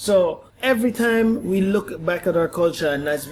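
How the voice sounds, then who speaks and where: A man in a Jamaican accent speaks at a moderate pace with lively intonation. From Guyana, then Jamaica. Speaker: podcast guest. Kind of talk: casual chat. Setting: at home on a couch.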